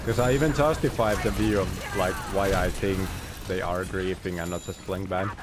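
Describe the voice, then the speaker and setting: The speaker has an animated tone and a non-native accent, talking at a moderate pace with ordinary pitch variation. Audible room echo and noticeable background noise fill the recording. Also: man, very deep, low pitch for a man. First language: not English. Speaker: video game streamer. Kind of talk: live gameplay stream chat. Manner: casual, animated.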